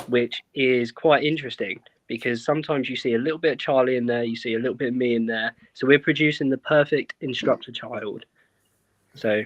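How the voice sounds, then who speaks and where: A man with a British accent is heard in a dry, close sound with no echo. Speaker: airsoft event co-owner and instructor, ex-military. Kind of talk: casual podcast chat. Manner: calm, quiet.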